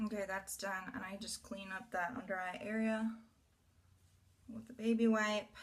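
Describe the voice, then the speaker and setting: At a fairly high pitch, a woman speaks somewhat breathily at a moderate pace, her intonation monotone and flat, with long, frequent pauses. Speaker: beauty vlogger. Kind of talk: makeup tutorial.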